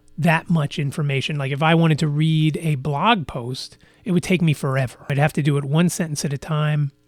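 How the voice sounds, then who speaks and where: Backed by music, a man with a fairly high pitch speaks at a moderate pace with ordinary pitch variation, the sound dry and close without echo. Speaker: podcast host. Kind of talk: casual solo podcast monologue. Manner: frequent fillers and repetitions; halting, self-correcting.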